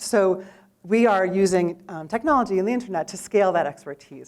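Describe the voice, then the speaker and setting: An American accent marks this woman's speech. Her voice sits at a medium pitch. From New York City. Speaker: startup founder. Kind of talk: pitch presentation. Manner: fast.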